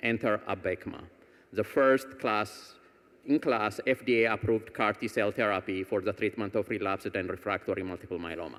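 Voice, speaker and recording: A normal speaking voice at a fairly quick pace, with ordinary pitch variation, on a very clean recording with a silent background. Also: man, fairly low pitch for a man. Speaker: foundation executive and cancer patient. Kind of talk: award presentation speech. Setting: stage with audience.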